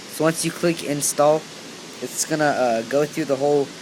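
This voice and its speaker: Noticeable background noise sits under speech that moves at a moderate pace. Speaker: tech tutorial youtuber. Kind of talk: tutorial. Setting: hotel room. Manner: halting, many fillers.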